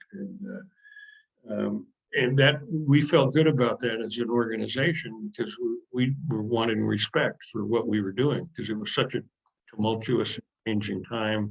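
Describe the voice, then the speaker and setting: The voice moves at a fairly slow pace with vocal fry and ordinary pitch variation. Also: man, medium pitch for a man. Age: 70s. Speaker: retired sports editor. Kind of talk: interview. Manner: halting.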